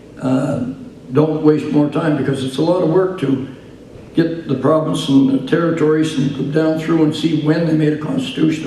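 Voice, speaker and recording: Noticeable background noise and audible room echo surround the voice. It speaks at a moderate pace with fairly even intonation. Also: man. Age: 70s. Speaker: political party leader. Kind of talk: political speech to audience. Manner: halting, many fillers.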